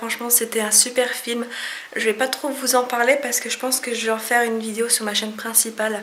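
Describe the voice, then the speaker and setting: Speaking at a fairly quick pace, a woman keeps a fairly high pitch and monotone, flat intonation over noticeable background noise. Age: young. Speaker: vlogger. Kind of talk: vlog recap to camera.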